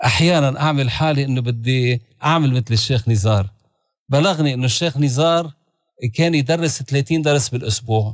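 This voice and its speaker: A man with a Lebanese accent, very even in loudness, in a dry sound with no echo against a quiet background. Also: ordinary pitch variation, moderate pace. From Lebanon (Beirut). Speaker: religious leader; guest. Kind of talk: interview. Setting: studio. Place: studio. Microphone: studio mic.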